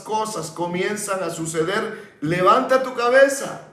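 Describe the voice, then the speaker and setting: A high-pitched male voice with ordinary pitch variation, amid audible room echo and noticeable background noise. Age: 70s. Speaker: pastor. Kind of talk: sermon. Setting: broadcast sermon.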